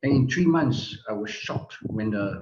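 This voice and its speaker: The man's somewhat breathy delivery unfolds fairly slowly. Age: 60s. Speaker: product user giving testimony. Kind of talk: testimony. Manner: halting.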